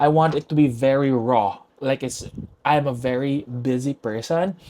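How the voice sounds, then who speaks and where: Here is a man with a dark, mellow tone. His intonation is fairly even. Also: medium pitch for a man, moderate pace. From Philippines, Cebu City. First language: Cebuano (Bisaya). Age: 20s. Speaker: podcast host. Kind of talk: casual chat. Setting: home recording with own camera and mic.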